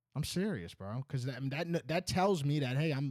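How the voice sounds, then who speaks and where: With a slight Northeastern US accent, the speaker uses lively intonation. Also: man. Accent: slight Northeast US, Boston-like. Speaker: podcast host. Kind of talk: casual chat.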